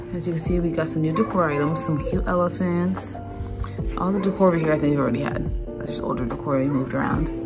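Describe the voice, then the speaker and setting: Over clear background music, a woman speaks at a very fast pace. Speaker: vlogger. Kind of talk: casual vlog chat. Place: home room. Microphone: phone near.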